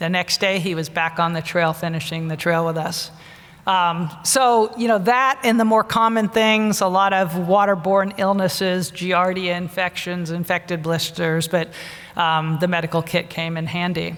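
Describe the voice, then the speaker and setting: In an ordinary speaking voice, a woman with a fairly low pitch speaks at a moderate pace with ordinary pitch variation. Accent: American. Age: 60s. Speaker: retired pharma executive and physician-scientist. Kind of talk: conference keynote talk.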